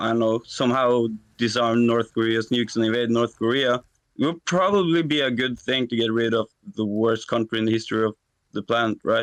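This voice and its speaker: The speaker has a non-native accent and fairly even intonation. Loudness stays very even throughout. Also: man, medium pitch for a man, fairly quick pace. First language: not English. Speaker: debate caller. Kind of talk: debate. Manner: halting.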